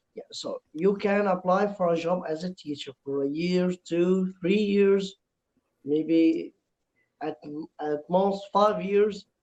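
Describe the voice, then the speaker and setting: Speaking very slowly with an Egyptian accent, a man uses a high pitch and fairly even intonation in a dry, close sound with no echo. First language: Arabic. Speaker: English teacher, language learner. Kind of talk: casual chat. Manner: halting.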